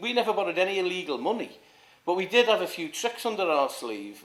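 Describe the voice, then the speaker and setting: At a fairly quick pace, a man with a Liverpool accent talks at a high pitch with ordinary pitch variation. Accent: Scouse (Liverpool). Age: 60s. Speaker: former councillor. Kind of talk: interview. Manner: halting, many repetitions.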